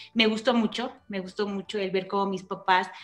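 The pace is fairly slow. The intonation is monotone and flat. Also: woman. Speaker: guest. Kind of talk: interview answer. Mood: warm, reflective. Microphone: video call.

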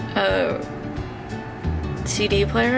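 Clear music plays behind a woman as she talks. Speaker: car owner vlogger. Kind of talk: casual vlog chat. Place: car. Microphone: phone near.

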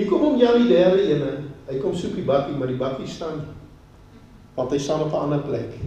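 The speaker's intonation is lively. Audible room echo and noticeable background noise surround the voice. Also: man, fairly high pitch for a man. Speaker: pastor. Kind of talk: sermon.

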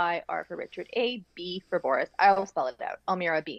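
At a moderate pace, a woman with an ordinary speaking voice talks in a medium pitch. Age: 40s. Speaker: PR consultant. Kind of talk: podcast interview.

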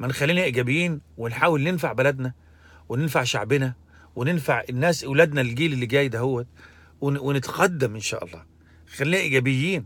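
A man speaks at a moderate pace in an Egyptian accent, his pitch fairly high. His pitch variation is ordinary, and the sound is dry with no echo. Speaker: religious commentator; commentator. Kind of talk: monologue commentary; opinion commentary, casual vlog rant. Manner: halting, with fillers. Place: car. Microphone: phone near.

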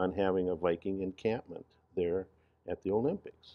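The speech runs at a moderate pace with fairly even intonation over a quiet background. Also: man. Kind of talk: interview answer. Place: studio.

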